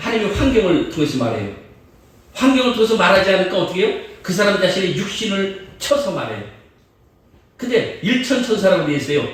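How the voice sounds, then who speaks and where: Over noticeable background noise and audible room echo, the speaker moves at a fairly quick pace with lively intonation and long, frequent pauses. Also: man, high pitch for a man. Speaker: guest preacher. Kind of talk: sermon. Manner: fast.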